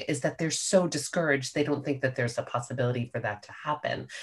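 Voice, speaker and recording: Very fast and with hardly any pauses, a woman speaks in a very deep, low, somewhat breathy voice with big swings in loudness. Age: 50s. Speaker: podcast guest, older friend of the host. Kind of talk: casual chat. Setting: video call.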